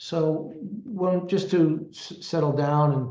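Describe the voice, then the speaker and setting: A man with a Brooklyn accent, somewhat breathy and dark, mellow in tone, with fairly even intonation. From Brooklyn, New York (Canarsie). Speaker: lawyer and business strategist. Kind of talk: interview. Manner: halting, many repetitions.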